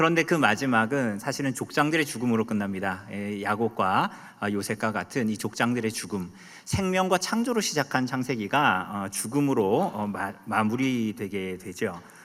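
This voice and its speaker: A man speaks at a moderate pace with a Gangwon accent. His pitch is medium and his intonation lively. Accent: Gangneung dialect intonation. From Korea, Gangneung (Gangwon). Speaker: pastor. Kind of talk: sermon. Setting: church. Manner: loud, emphatic; sounds angry.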